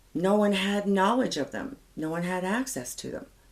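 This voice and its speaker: At a moderate pace, a woman with an American accent speaks at medium pitch. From Colorado, US. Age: 70s. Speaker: author. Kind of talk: interview.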